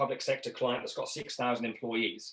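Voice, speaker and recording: With a British accent, a man is talking. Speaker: leadership trainer. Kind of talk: webinar presentation. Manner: fast.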